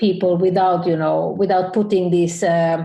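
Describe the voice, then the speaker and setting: The woman's voice has a dark, mellow tone and fairly low pitch. She speaks at a fairly slow pace with monotone, flat intonation. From Finland. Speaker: photographer and business educator. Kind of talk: interview. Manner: halting.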